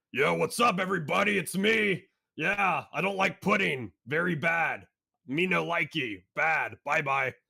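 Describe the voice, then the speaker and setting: A man puts on a raspy character voice at a high pitch, with lively intonation and very even loudness. His pace is moderate. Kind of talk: cartoonish. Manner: playful.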